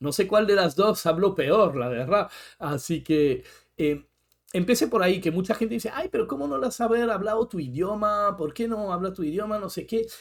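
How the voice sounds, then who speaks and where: A man with a French accent and a high voice, moderate pace and lively intonation, on a very clean recording with a silent background. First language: French (speaking Spanish). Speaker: therapist, podcast co-host. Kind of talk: casual chat.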